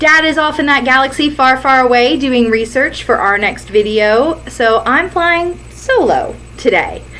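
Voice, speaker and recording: Noticeable background noise behind a woman's raised, projected voice, high in pitch, upbeat in tone, with lively intonation and a fairly slow pace. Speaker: YouTube fan commentator. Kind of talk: casual talk to camera.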